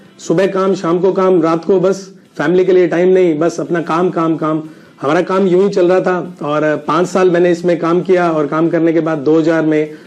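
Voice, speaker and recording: Over noticeable background noise, a man speaks at a high pitch with monotone, flat intonation. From India, Rajasthan (Sri Ganganagar). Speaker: network marketing business owner, ex pharma rep. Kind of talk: personal success story testimony. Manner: hesitant with frequent filler sounds.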